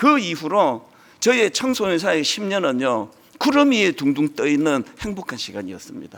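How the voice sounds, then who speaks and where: Speaking at a moderate pace, a man with a high pitch lets his voice swing very widely up and down. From rural South Korea. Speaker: pastor. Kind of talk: sermon. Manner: animated.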